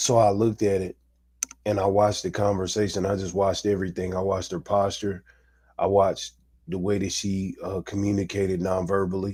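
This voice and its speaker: Speaking at a fairly quick pace, a man uses a dark, mellow tone, fairly low pitch and monotone, flat intonation. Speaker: commentary vlogger. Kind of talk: casual monologue commentary. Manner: casual, clipped speech; halting, repeats words.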